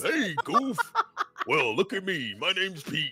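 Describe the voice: Using a put-on character voice, a man speaks at a fairly slow pace while faint music plays in the background.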